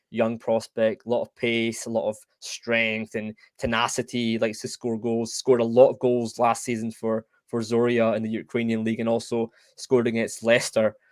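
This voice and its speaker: A man speaks fairly quickly in a Scottish accent at medium pitch. The sound is dry and close, with no echo. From Scotland. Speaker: football podcast host. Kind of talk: casual chat. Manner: halting.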